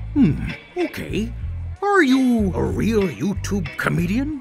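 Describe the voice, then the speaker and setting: Over clear background music, a man puts on a character voice and talks at a fairly slow pace. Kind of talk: audition pitch.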